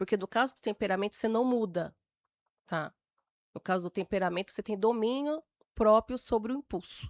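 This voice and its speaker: This woman's voice sits fairly high, with ordinary pitch variation and a fairly quick pace broken by long, frequent pauses. The recording is very clean and dry, close, with a silent background and no echo. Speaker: temperament expert, podcast guest. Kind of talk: interview conversation.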